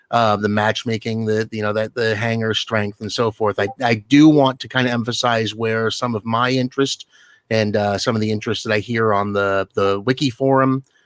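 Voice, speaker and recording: A man speaks loudly at a moderate pace, his medium-pitched voice flat and monotone, with a dry, close sound and no echo. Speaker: game player on forum. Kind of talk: round table discussion. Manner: halting.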